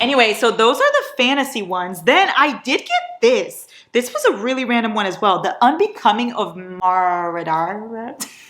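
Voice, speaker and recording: Talking at a moderate pace with hardly any pauses, a woman with a non-native accent uses a fairly high pitch, very wide pitch swings and an animated tone on a very clean recording with a silent background. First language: not English. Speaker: book vlogger. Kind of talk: casual vlog haul.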